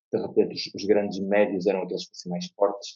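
A man's fairly low voice, monotone and flat in intonation. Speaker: football author and historian. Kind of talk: casual interview.

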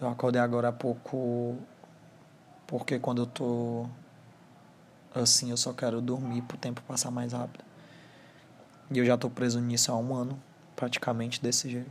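A man with a Ceará accent speaks at a moderate pace and medium pitch, his intonation flat and monotone, broken by long, frequent pauses. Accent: Brazilian Northeastern (Cearense). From Brazil, Ceará (Fortaleza). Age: 20s. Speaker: first-time podcaster. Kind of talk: personal monologue. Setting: alone at home, sitting on bed. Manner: halting.

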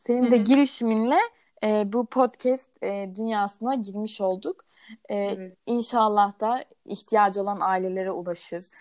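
Fairly high-pitched, a woman speaks at a fairly slow pace with fairly even intonation. She has an ordinary speaking voice. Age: 20s. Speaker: podcast co-host, mother of a child with Down syndrome. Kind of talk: casual chat.

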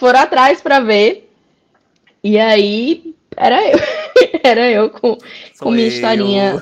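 A woman with a Rio Grande do Norte accent speaks very slowly in a fairly high voice, her intonation lively. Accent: northeastern Brazilian (potiguar). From Brazil, interior of Rio Grande do Norte (Currais Novos). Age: 30s. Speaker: illustrator and comics author. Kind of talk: casual interview.

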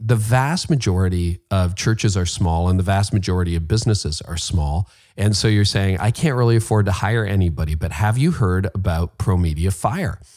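A man with a plain, everyday voice and a fairly low pitch talks at a moderate pace with lively intonation, on a very clean recording with a silent background. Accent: Canadian. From Canada. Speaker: podcast host. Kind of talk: interview conversation.

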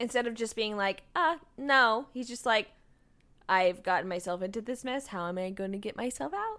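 A woman's fairly high, bright, sharp voice with an American accent, very cleanly recorded against a silent background. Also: moderate pace. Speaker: podcast co-host. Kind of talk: casual recap chat.

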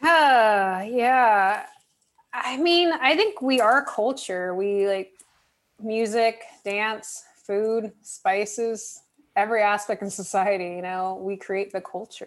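This woman's voice sits fairly high in pitch, with ordinary pitch variation. She speaks at a very slow pace. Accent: American. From Southern California. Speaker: mental health worker. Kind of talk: casual chat.

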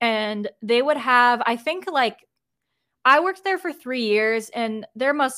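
A woman with an American accent and an unremarkable speaking voice, at a moderate pace, in a very clean recording with a silent background. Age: 20s. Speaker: graphic designer. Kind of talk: casual chat.

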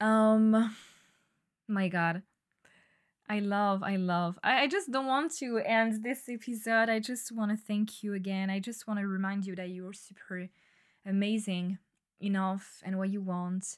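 Fairly even in intonation, a woman with a French accent speaks at a medium pitch and a fairly slow pace in a very clean recording with a silent background. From France. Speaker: podcast host. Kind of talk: solo monologue. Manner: hesitant, many fillers.

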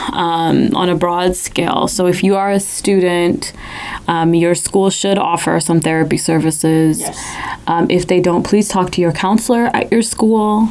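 Noticeable background noise sits behind the speech. The delivery is fairly slow, with fairly even intonation. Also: woman, fairly low pitch for a woman. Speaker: podcast co-host and audio engineer. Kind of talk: casual chat.

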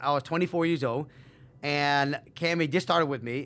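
A man's fairly high, bright, sharp voice with an animated tone and ordinary pitch variation. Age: 50s. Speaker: real estate investor. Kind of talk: casual interview.

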